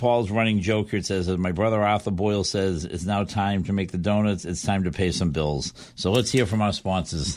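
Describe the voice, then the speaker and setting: A man with a Boston accent speaks at a fairly low pitch with fairly even intonation. His pace is fairly quick, with hardly any pauses. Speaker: fill-in radio host. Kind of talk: casual chat. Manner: fast.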